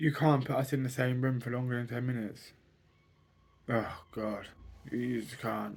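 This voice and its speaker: A somewhat breathy man speaks with fairly even intonation. His speech has long, frequent pauses. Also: medium pitch for a man, moderate pace. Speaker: vlogger. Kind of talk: personal vlog monologue.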